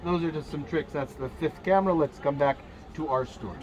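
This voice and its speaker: Over noticeable background noise, a man talks at a fairly quick pace with a fairly high pitch and ordinary pitch variation. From Jerusalem, Israel. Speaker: tour guide instructor. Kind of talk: lecture.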